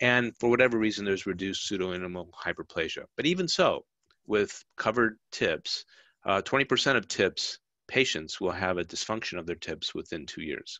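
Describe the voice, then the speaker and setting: A man's fairly low voice at a fairly quick pace with lively intonation. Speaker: radiologist. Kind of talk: lecture. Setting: video call. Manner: fast.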